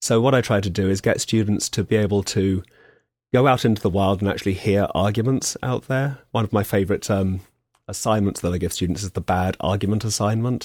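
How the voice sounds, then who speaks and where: A man with an English accent speaks at a fairly quick pace in a fairly low voice with fairly even intonation, recorded very cleanly against a silent background with a dry, close sound and no echo. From England. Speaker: philosophy professor, former veterinary surgeon. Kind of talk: radio interview.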